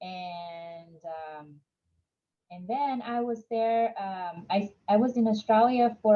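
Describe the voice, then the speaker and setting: With a Vietnamese accent, a woman speaks at a very slow pace in a medium pitch with ordinary pitch variation. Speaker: entrepreneur. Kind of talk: interview.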